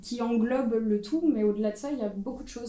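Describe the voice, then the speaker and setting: Audible room echo surrounds a woman's voice. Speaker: photographer. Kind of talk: panel discussion. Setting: stage with audience. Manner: loud.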